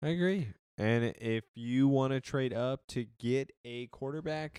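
In a normal speaking voice, a man with a medium pitch speaks at a fairly slow pace with lively intonation, the sound dry and close with no echo. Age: 30s. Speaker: football podcast co-host. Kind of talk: casual chat.

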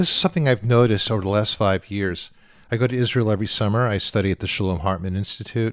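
In a very clean recording with a silent background, a man with a General American accent talks very fast in a fairly low voice with ordinary pitch variation. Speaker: rabbi and podcast host. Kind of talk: interview. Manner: animated.

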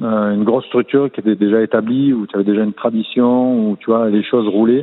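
Here a man talks with a plain, everyday voice. His medium pitch, fairly quick pace and fairly even intonation hold throughout. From southern France, Martigues (Provence). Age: 40s. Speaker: swimming coach, former swimmer. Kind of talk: interview.

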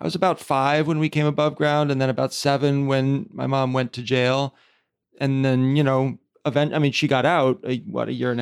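On a very clean recording with a silent background, a man in an unremarkable speaking voice talks at a moderate pace, medium pitch, and fairly even intonation. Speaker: podcast host. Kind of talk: interview conversation.

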